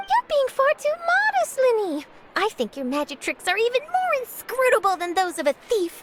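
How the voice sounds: Putting on a cartoonish character voice, a woman speaks at a moderate pace with extremely high pitch, very wide pitch swings and a fairly bright tone.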